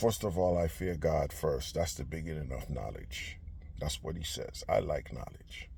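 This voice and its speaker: A man talks at a moderate pace with audible room echo around his voice. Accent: non-native. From Caribbean. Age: 50s. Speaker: political commentator. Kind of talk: political rant. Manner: animated.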